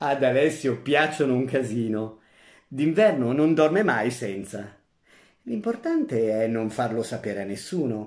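In a very clean recording with a silent background, a man with an unremarkable speaking voice and medium pitch talks at a fairly slow pace with lively intonation. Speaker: actor reading a short story aloud. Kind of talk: dramatic narration, story read aloud with character voices. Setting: audio recording of a story reading. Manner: expressive, theatrical, shifting between narrator and the grandmother's old-woman voice; comic timing, playful and mischievous in the humorous lines.

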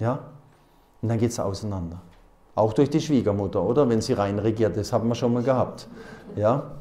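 A man speaks at a moderate pace with a fairly low pitch, a dark, mellow tone, and ordinary pitch variation.

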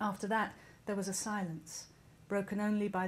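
This woman's voice has a somewhat breathy quality. She talks at a moderate speed. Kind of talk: reading aloud from a novel. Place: stage. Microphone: podium.

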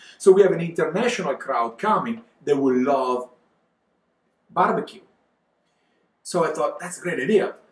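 A man with a high-pitched voice and lively intonation talks at a moderate pace, stopping for long, frequent pauses. Audible echo from the room surrounds him. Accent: Italian. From Italy, Verona area (Veneto). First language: Italian. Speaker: winemaker and wine exporter. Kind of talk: casual interview chat. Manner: animated. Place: home room.

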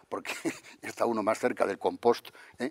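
Very fast speech over a quiet background. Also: man. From Madrid, Spain; Spain. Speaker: architect; interviewee. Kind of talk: interview. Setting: convention center. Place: hall. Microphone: lapel.

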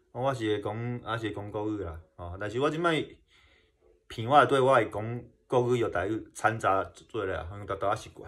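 A man with a strong Kinmen accent speaks at a moderate pace in a medium pitch, with ordinary pitch variation and big swings in loudness. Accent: strong Kinmen Hokkien. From Kinmen, Taiwan; Taiwan. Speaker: YouTuber exploring wartime sites. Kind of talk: casual vlog talk. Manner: halting, many fillers and repetitions. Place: home room. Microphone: phone near.

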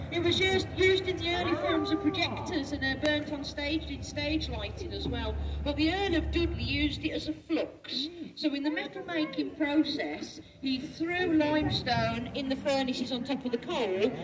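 A woman's moderately paced speech is heard over noticeable background noise. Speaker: tour boat guide. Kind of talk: tour guide commentary. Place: boat. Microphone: camera far.

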